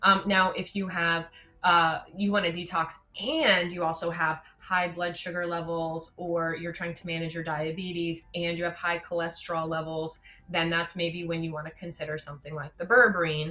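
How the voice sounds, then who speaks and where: A woman speaks at a moderate pace in a fairly low, monotone voice with flat intonation, with noticeable background noise behind her. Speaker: doctor of natural medicine. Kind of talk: webinar Q&A.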